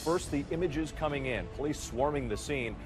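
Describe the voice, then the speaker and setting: A man's fairly high voice at a fairly quick pace, fairly even intonation, music in the background. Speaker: TV evening news anchor. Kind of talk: TV news anchor broadcast delivery.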